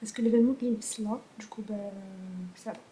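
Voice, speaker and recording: There is noticeable background noise as a woman talks in a fairly high voice. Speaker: vlogger. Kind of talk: casual vlog. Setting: pastry workshop event. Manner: soft-spoken.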